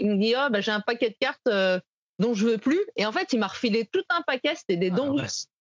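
A woman speaks at a fairly quick pace with fairly high pitch and very wide pitch swings. The sound is dry and close, with no echo. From France, Saint-Étienne. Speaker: baseball podcaster and card collector. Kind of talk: interview.

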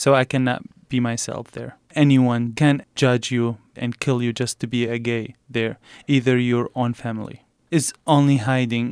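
In an Arabic accent, a man talks at a fairly slow pace with monotone, flat intonation, the recording dry and close with no echo. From Iraq, south. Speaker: refugee, former military translator. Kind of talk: interview.

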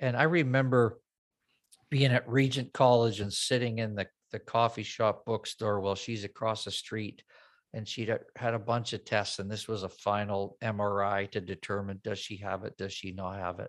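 The recording is very clean, with a silent background. A man uses an ordinary speaking voice, fairly low in pitch, with fairly even intonation at a moderate pace. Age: 50s. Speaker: worship pastor. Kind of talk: casual chat.

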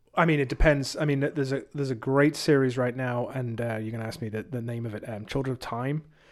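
A man with an English accent, medium pitch, fairly even intonation, and a very fast pace with hardly any pauses. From England. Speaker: youth leader and preacher. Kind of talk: casual chat. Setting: studio.

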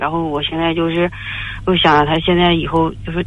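At a moderate pace, the words come through over noticeable background noise. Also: woman. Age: 40s. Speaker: caller. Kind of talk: phone-in confession. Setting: phone call. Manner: halting.

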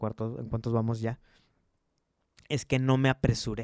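An animated tone comes through a dry, close recording with no echo, very clean and set against a silent background. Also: man. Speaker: entrepreneur, branding agency co-founder. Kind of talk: casual chat.

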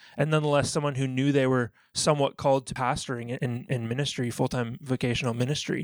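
A man with a Canadian accent speaks in a normal speaking voice at a fairly quick pace, fairly high in pitch with fairly even intonation and a dry, close sound with no echo. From Canada. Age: 30s. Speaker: youth pastor and former athlete. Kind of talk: interview.

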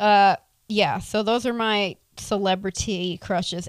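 Lively intonation and an animated tone mark this woman with an American accent, recorded very cleanly against a silent background. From US South, Tampa, Florida. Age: 20s. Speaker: podcast host. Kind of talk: casual solo Q and A chat. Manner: animated, laughing.

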